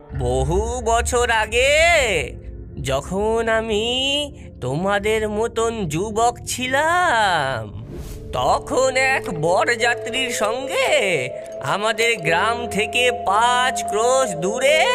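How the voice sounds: A cartoonish character voice, fairly high in pitch and very slow, over loud music in the background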